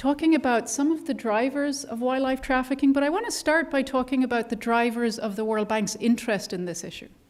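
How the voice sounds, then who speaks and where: A high-pitched woman with an Irish accent at a fairly quick pace, over noticeable background noise. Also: ordinary pitch variation. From Ireland. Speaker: conservation biologist at a development bank. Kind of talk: panel discussion talk. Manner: animated.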